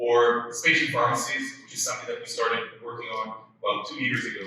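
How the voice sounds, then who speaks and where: Amid noticeable background noise and audible room echo, a man with an Israeli accent talks at a fairly quick pace. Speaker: company CEO and conference speaker. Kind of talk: conference talk. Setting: stage with audience. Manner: hesitant, many fillers.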